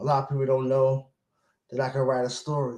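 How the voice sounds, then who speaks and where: A somewhat breathy quality colors this man's fairly high voice. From Brooklyn, New York. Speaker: motivational speaker. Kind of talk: personal vlog monologue. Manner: repetitive, halting.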